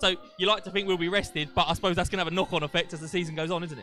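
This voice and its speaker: The speech goes at a very fast pace with fairly even intonation, the sound dry with no echo and faint music in the background. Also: man. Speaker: matchday show host. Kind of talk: live interview hosting. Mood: jokey, light-hearted. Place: stadium. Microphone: handheld.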